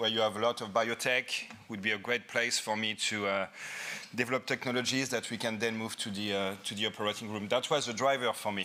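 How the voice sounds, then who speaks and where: With a French accent, a man speaks at a fairly quick pace, his medium pitch kept in fairly even intonation. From France. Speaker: anesthesiologist and professor. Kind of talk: conference lecture. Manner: halting, with repetitions.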